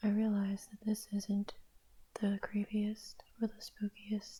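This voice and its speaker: Speech comes out very slowly. The delivery is soft-spoken. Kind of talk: ASMR poetry reading.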